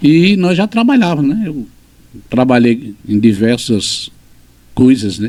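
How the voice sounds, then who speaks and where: Slow to a crawl and full of long, frequent pauses, a man's dark, mellow voice swings very widely in pitch. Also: medium pitch for a man. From Pernambuco, Brazil (Lagoa dos Gatos, Cupira). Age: 60s. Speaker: teacher and writer. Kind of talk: interview.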